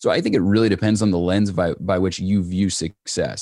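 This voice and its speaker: A man speaks at a very deep, low pitch with a dark, mellow tone. His intonation is fairly even. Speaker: entrepreneur and business coach. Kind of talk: casual interview.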